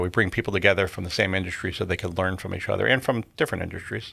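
Over a very clean recording with a silent background, a man with an American accent speaks at a very fast pace with hardly any pauses, his very deep, low pitch paired with a bright, sharp tone and ordinary pitch variation. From Connecticut. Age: 50s. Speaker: business association executive. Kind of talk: interview conversation.

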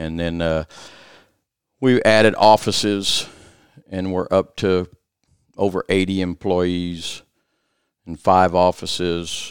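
In a very clean recording with a silent background and a dry, close sound free of echo, a man with a Louisiana accent talks at a very slow pace in a very deep, low voice, his intonation fairly even and his pauses long and frequent. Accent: southern US (Louisiana). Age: 60s. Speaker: restoration business owner. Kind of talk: casual interview. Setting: office studio.

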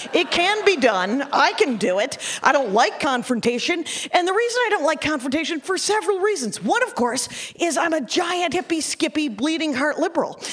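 Over noticeable background noise, a woman with an American accent speaks at a fairly quick pace in an extremely high pitch with very wide pitch swings. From US Midwest (Wisconsin). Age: middle-aged. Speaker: comedian. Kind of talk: stand-up. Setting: stage with audience.

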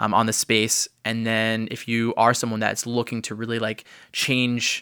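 A man at medium pitch speaks in a monotone, flat way with vocal fry and a bright, sharp tone, on a very clean recording with a silent background. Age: 20s. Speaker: social media marketing agency owner. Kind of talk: casual chat.

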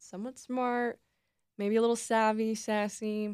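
In a very clean recording with a silent background, a woman with an American accent speaks at a fairly high pitch. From US West, Reno, Nevada. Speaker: podcast host, journalism student. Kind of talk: podcast introduction monologue.

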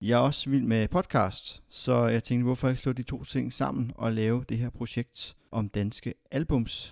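On a very clean recording with a silent background and a dry, close sound with no echo, a man talks at a medium pitch with ordinary pitch variation, at a fairly slow pace with hardly any pauses. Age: 20s. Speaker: podcast host. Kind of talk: podcast introduction monologue. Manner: hesitant, with filler sounds.

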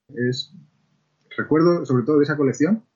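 Somewhat breathy, a man talks at a fairly quick pace in a fairly high pitch. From Spain, La Mancha (Ciudad Real). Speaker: children's book author. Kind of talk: interview.

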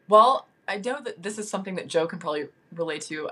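A woman with a plain, everyday voice speaks in an American accent. Her pace is fairly quick, and her pitch variation is ordinary. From Nashville, Tennessee, US South. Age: 30s. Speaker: guest, interior designer. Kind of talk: casual chat.

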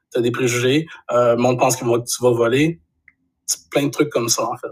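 The man talks at a moderate pace in a medium pitch. His voice is somewhat breathy, with monotone, flat intonation. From Quebec, Saguenay region. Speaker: graphic designer and photographer. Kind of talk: casual interview chat.

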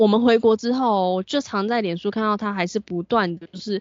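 A woman speaks in a Taiwanese accent at a medium pitch. Her intonation stays fairly even. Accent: Taiwanese Mandarin. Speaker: podcast co-host. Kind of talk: casual chat. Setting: home.

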